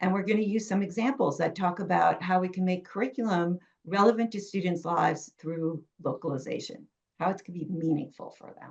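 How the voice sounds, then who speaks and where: With a New York accent, the speaker talks at a fairly quick pace, showing ordinary pitch variation and big swings in loudness. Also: woman, medium pitch for a woman. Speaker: education author and curriculum consultant. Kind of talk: webinar presentation.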